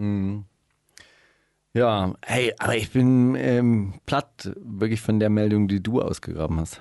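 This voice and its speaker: A man at a very slow pace and fairly low pitch, with long, frequent pauses, ordinary pitch variation, and a quiet background. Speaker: radio host. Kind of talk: casual chat. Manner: animated.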